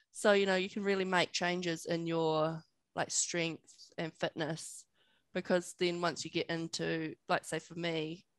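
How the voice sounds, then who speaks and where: Over a quiet background, a woman speaks at a fairly slow pace with ordinary pitch variation, the sound dry with no echo. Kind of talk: interview answer. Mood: relaxed, friendly. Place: home room. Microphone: headset.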